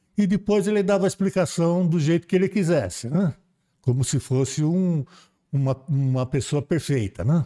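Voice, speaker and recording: A man with a fairly high pitch and a dark, mellow tone speaks at a moderate pace with lively intonation and very even loudness. The recording is very clean with a silent background and a dry, close sound with no echo. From Brazil, São Paulo coast. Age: 70s. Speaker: spiritist volunteer, retired railway worker. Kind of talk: casual interview storytelling. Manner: halting, many repetitions.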